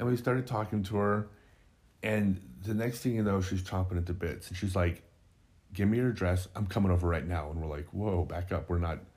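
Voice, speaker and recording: A man with a very deep, low voice talks at a fairly quick clip, somewhat breathy, with ordinary pitch variation. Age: 50s. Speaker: podcast co-host. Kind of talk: casual chat.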